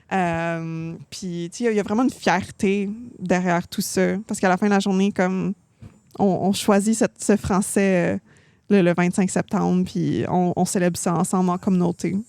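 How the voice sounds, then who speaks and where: A woman with a dark, mellow tone and medium pitch speaks at a moderate pace with fairly even intonation, recorded very cleanly against a silent background. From Ontario, Canada. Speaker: singer-songwriter, music coach. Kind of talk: podcast interview. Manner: hesitant, many fillers.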